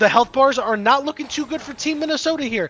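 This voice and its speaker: A man shouting in an excited tone, his raised, projected voice extremely high-pitched, with ordinary pitch variation, a fairly quick pace and noticeable background noise. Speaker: esports play-by-play caster. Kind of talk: live commentary. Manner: loud, yelling; fast, excited.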